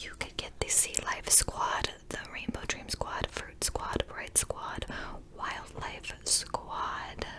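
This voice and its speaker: Noticeable background noise sits behind a woman whispering. She goes at a very slow pace. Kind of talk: whispered ASMR vlog to camera. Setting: close-mic studio recording. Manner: whispered, soft, rambling.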